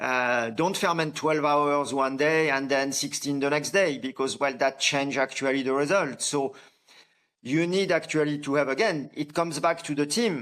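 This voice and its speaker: Recorded very cleanly against a silent background, a man with a French accent speaks at a moderate pace and fairly high pitch, with ordinary pitch variation and very even loudness. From France. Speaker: coffee farmer and company founder. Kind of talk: podcast interview. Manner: hesitant, many fillers and restarts.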